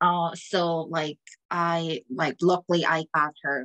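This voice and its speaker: A woman speaks with a Korean accent in a bright, sharp tone and a fairly low pitch. The background is quiet. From South Korea. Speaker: orchestral cellist. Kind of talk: interview. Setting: video call. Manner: halting. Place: home room. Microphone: video call.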